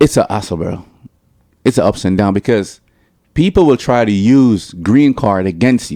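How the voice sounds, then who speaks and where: A man with a Jamaican accent speaks at a moderate pace, with long, frequent pauses. His fairly low voice has a dark, mellow tone and lively intonation. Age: 30s. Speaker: reggae/dancehall artist. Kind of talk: casual interview.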